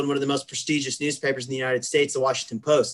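A man speaks with a Midwestern accent. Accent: General American (Midwest). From US Midwest, Kansas. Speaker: university athletics administrator. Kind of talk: interview.

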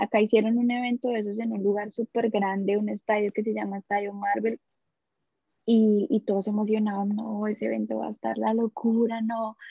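A woman talks in a monotone, flat delivery at a fairly high pitch. Her voice is somewhat breathy. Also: moderate pace. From Colombia, Bogotá area (Soacha). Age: 20s. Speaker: podcast guest, young mother. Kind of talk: casual interview, personal testimony.

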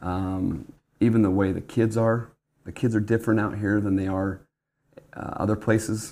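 A man with a Utah accent speaks at a moderate pace and fairly low pitch, with long, frequent pauses. His intonation is monotone and flat. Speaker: church bishop. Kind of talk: casual interview. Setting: studio table. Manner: halting, many fillers.

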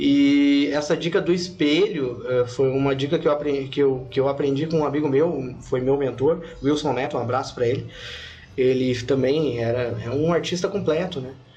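A man speaks at a moderate pace and a fairly high pitch, with fairly even intonation. Noticeable background noise and audible room echo surround him. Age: 30s. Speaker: podcast host. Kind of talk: casual interview. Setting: studio.

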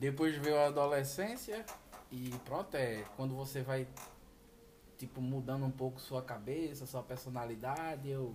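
Long, frequent pauses interrupt a man's fairly slow speech, heard over noticeable background noise. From Brazil, Pernambuco (Recife/Olinda). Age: 30s. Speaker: truck driver. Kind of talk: interview. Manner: halting.

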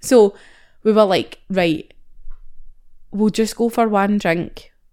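With a Scottish accent and an animated tone, a woman speaks at a fairly high pitch on a very clean recording with a silent background. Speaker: podcast co-host. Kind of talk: casual chat.

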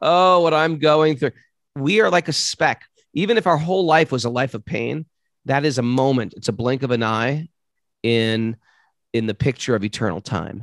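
Over a quiet background, a man with a New York accent talks at a medium pitch with lively intonation. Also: moderate pace, dry, close sound with no echo. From US, New York City. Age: 50s. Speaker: yoga teacher. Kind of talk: interview.

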